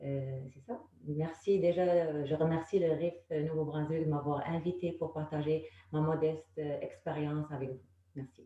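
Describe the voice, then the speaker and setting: Her very deep, low pitch stays in a monotone, flat intonation as this woman speaks at a fairly slow pace with big swings in loudness. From Morocco. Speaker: panelist, human resources officer. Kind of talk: panel discussion testimony. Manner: halting, many hesitations.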